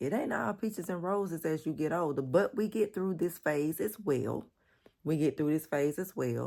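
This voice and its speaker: Very deep and low, a woman's dark, mellow voice carries lively intonation at a moderate pace on a very clean recording with a silent background. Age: 40s. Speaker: lifestyle vlogger. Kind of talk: casual vlog talk to camera. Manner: animated, conversational.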